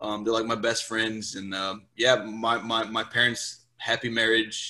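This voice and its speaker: A man talks at a fairly slow pace and a medium pitch, his tone bright and sharp. His intonation is monotone and flat, and the recording is very clean with a silent background. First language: Portuguese. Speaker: podcast guest. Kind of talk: casual interview. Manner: hesitant, many fillers and repeats.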